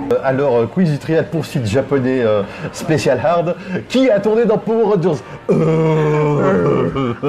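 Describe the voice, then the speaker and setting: With music playing behind him, a man speaks very slowly at a fairly high pitch, his pitch swinging very widely while his loudness stays very even. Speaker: podcast co-host. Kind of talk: casual chat. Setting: bar. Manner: hesitant, many fillers.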